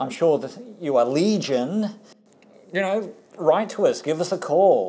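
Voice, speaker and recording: The speech comes at a fairly slow pace with long, frequent pauses. It is delivered in an Australian accent. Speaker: podcast host. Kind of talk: casual chat.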